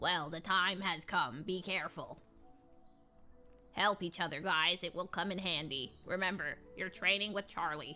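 Faint music plays in the background as a woman uses a put-on character voice at a medium pitch, with ordinary pitch variation. She keeps a moderate pace with long, frequent pauses. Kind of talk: playful role-play of game dialogue. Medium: game stream. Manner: mock-ominous, teasing.

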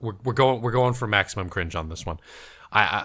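What is heard is plain reading aloud.

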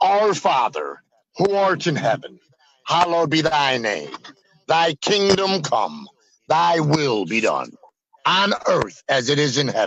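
A man with an unremarkable speaking voice talks at a fairly high pitch and a fairly slow pace. His intonation is lively, and the sound is dry with no echo. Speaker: self-described faith healer and medium. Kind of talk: heated debate. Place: home room. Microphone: video call.

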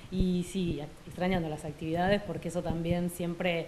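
A woman with an Argentine accent speaks at a moderate pace, her pitch fairly low. Light background noise can be heard. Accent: Argentine Spanish (Rioplatense). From Argentina. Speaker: French teacher. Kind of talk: interview. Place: classroom. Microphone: handheld.

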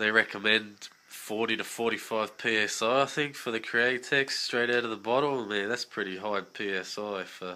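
A man with an Australian accent speaks at a moderate pace. His fairly low voice has a bright, sharp tone. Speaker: scale model builder. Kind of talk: casual talk to camera.

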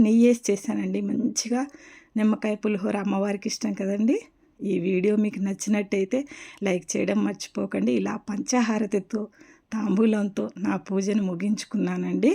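A woman speaks at a medium pitch with a dark, mellow tone. Her intonation stays fairly even. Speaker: vlogger. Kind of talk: devotional tutorial vlog. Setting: home puja room.

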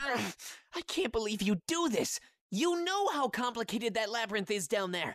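A put-on character voice comes out at a fairly high pitch. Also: moderate pace. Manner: whiny, sarcastic, indignant.

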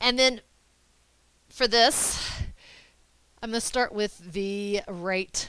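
A woman speaks at a fairly slow pace. The sound is dry with no echo. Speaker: yoga instructor. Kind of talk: tutorial. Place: home room. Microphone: headset.

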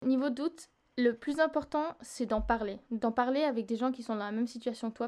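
Against a quiet background, a woman with a high pitch talks at a moderate pace with ordinary pitch variation. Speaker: singer-songwriter. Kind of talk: interview. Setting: remote recording.

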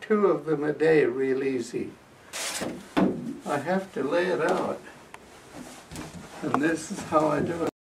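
Noticeable background noise fills the recording. Over it, a man talks with ordinary pitch variation. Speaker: quilter. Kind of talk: casual talk to camera. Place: home room. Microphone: camera far.

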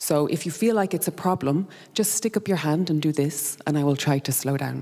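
A woman's very deep, low voice with a dark, mellow tone, lively intonation, very even loudness and a fairly quick pace over a quiet background. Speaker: conference speaker. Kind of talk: conference presentation. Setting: stage with audience. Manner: fast; animated. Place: hall. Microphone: handheld.

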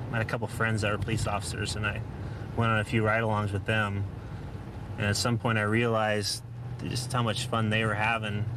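The delivery is very fast and monotone, with flat intonation. The sound is dry with no echo, though background noise is noticeable. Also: man, fairly low pitch for a man. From moved around, military family; born in Oklahoma, settled in Washington State. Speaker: police officer. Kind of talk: interview to camera and on-duty talk. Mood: calm, relaxed. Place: car.

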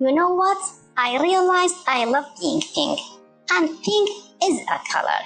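A woman puts on a cartoonish character voice at an extremely high pitch, with vocal fry and a fairly bright tone. She goes at a fairly slow pace with lively intonation as faint music plays behind her.

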